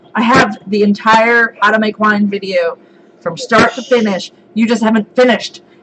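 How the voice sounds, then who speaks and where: A woman talks at a moderate pace with a fairly high pitch and fairly even intonation. Background noise is noticeable. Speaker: homesteading channel host. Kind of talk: live stream chat. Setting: live stream. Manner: loud.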